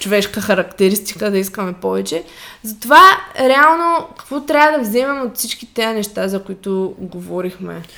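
Lively intonation from a woman, with noticeable background noise behind her. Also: medium pitch for a woman, moderate pace. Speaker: fitness coach podcast co-host. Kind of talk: casual chat.

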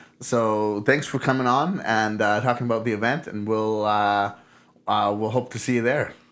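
At a moderate pace and medium pitch, a man speaks with fairly even intonation in an unremarkable speaking voice. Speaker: podcast host. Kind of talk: casual interview chat. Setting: audio-only recording.

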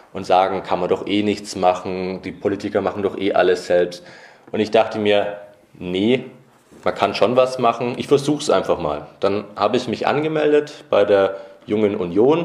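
An unremarkable speaking voice at a moderate pace. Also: man. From Nuremberg, Franconia (Bavaria). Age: 20s. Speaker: youth politician. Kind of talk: podcast interview.

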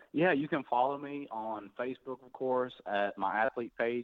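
A man with a Tennessee accent, at a moderate pace and with fairly even intonation. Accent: Southern US (Tennessee). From US South, Tennessee (near Nashville). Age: 20s. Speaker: professional boxer. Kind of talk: interview.

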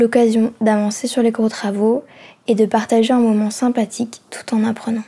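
A woman speaks fairly slowly in a fairly high, somewhat breathy voice that is dark and mellow in tone, with monotone, flat intonation. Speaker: student podcast reporter. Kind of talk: scripted narration.

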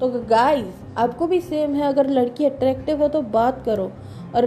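A woman's high-pitched voice with ordinary pitch variation amid noticeable background noise. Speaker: podcaster. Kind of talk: casual monologue. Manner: pauses often.

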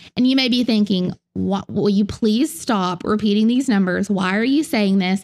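With lively intonation and a Southern US accent, a woman speaks in a fairly high voice on a very clean recording with a silent background and a dry, close sound with no echo. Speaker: Bible teacher, podcast host. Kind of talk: teaching lecture on the Bible. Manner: earnest, instructive.

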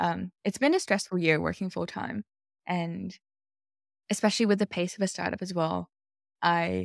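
A woman with an Australian accent speaks at a fairly low pitch and a moderate pace. The sound is dry and close with no echo, in a very clean recording over a silent background. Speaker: product manager. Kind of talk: casual chat.

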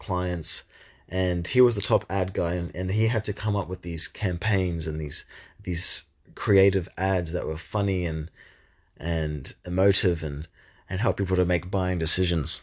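Against a quiet background, a man with a very deep, low pitch talks at a moderate pace with fairly even intonation. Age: 20s. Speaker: podcast host, young marketer. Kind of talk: solo monologue podcast. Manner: hesitant, many fillers and repeated words.

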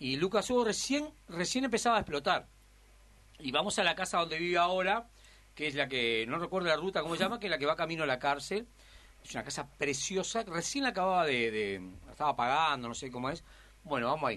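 This man's fairly high voice has a bright, sharp tone. He talks at a very fast pace with very wide pitch swings. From Uruguay, Montevideo. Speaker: comedian. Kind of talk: interview.

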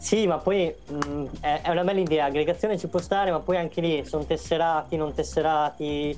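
Music plays in the background as the voice keeps a fairly even intonation. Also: man, fairly high pitch for a man. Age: 30s. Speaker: gamer and social media guest. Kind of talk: casual chat.

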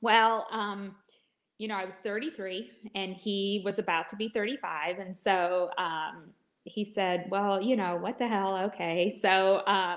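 With an ordinary speaking voice, a woman uses a medium pitch that varies in an ordinary way. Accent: American. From Michigan. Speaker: licensed counselor. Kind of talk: interview testimony.

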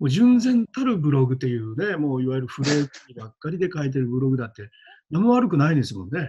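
A man talks very fast at a fairly high pitch, with a dark, mellow tone and a somewhat breathy quality. His intonation is lively, and his loudness swings widely. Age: 50s. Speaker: schoolteacher and coach. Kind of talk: casual interview chat.

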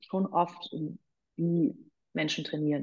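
Moderate pace and ordinary pitch variation from a woman with a fairly low voice. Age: 40s. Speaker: personal trainer and former radio presenter. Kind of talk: casual interview.

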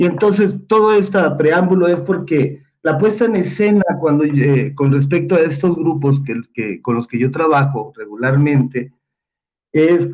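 A man with an ordinary speaking voice, fairly high-pitched, lively in intonation, at a fairly slow pace. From Mexico, Jalisco. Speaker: theatre director and playwright. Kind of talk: casual panel discussion.

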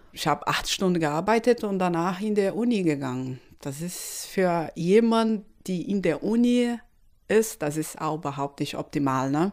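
On a very clean recording with a silent background, a woman with a Portuguese accent speaks at a moderate pace, her fairly low voice carrying lively intonation. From Brazil, Recife. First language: Portuguese (speaking German). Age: 30s. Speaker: electrical engineer. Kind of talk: interview. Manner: non-native, halting German.

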